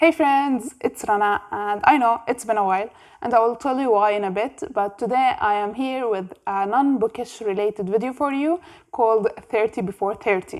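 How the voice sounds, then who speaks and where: A woman with an Arabic accent speaks at a moderate pace with lively intonation on a very clean recording with a silent background. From Jordan. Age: 20s. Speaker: book youtuber. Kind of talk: casual vlog monologue.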